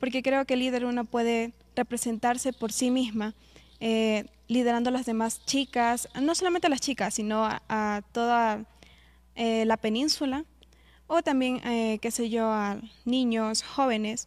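In a very clean recording with a silent background, a woman with an unremarkable speaking voice talks at a fairly slow pace, her pitch fairly high, her intonation fairly even, and her loudness very even. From Ecuador, Santa Elena coast. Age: young. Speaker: pageant candidate. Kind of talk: interview.

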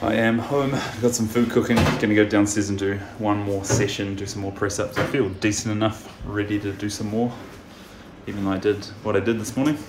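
The speech moves at a fairly quick pace. Background noise is noticeable throughout. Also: man. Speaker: fitness vlogger. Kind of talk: casual vlog chat. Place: kitchen. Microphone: phone near.

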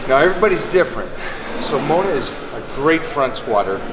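A man's voice at a moderate pace over loud background noise. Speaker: fitness coach. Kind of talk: tutorial. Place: gym.

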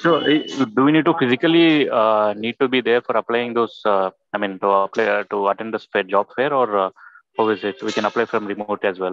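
A man speaks at a fairly quick pace in a plain, everyday voice, medium in pitch with ordinary variation. The sound is dry with no echo, over light background noise. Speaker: professional relocating to Germany. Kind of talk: casual Q&A. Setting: video call. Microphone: video call.

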